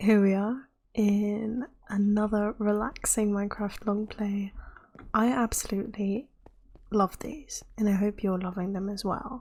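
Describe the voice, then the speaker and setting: A woman speaks softly, somewhat breathy, at a fairly slow pace. Her medium pitch holds a fairly even intonation. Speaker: gamer. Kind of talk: relaxed gameplay commentary. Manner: soft-spoken.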